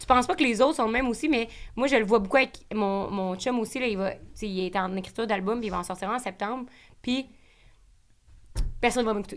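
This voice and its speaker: A woman with a Quebec accent at a fairly high pitch, a very fast pace, ordinary pitch variation and long, frequent pauses. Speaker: podcaster. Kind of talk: casual interview chat.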